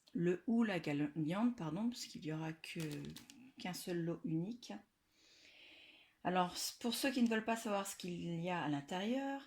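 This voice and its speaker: A woman with a medium-pitched voice talks at a fairly slow pace with lively intonation. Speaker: scrapbooking youtuber. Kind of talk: casual video presentation. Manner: loud; hesitant with fillers.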